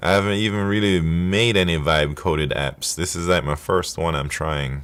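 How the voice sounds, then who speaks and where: A man with a Jamaican accent at a very deep, low pitch, relaxed in tone with vocal fry, moderate pace and ordinary pitch variation, on a very clean recording with a silent background. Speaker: coding livestreamer. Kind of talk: casual livestream chat while coding. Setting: live stream. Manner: relaxed, conversational.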